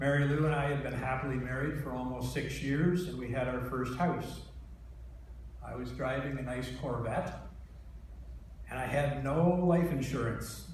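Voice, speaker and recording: Fairly slow male speech with a Canadian accent, noticeable background noise and audible room echo. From Ontario, Canada. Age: 60s. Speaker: patient speaker. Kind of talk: testimony.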